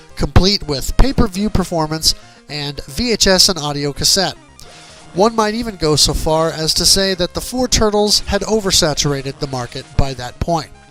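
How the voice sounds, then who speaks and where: Music plays behind the speaker. A man talks in a high pitch. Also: lively intonation, moderate pace. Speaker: game reviewer and video host. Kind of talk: dramatic review reading to camera, reading aloud with punch and personality. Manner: animated, expressive, punchy.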